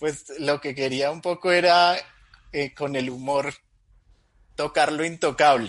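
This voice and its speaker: A man talks at a very slow pace with long, frequent pauses. His pitch is fairly high and his intonation fairly even. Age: 30s. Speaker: Bible teacher and comedy video creator. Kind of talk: casual chat.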